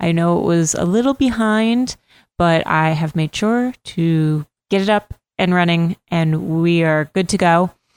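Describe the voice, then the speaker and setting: A woman with an American accent speaks in a plain, everyday voice, fairly low in pitch with ordinary pitch variation and a fairly slow pace. Her loudness stays very even, and the sound is dry and close with no echo. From Massachusetts. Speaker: podcast host. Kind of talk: interview.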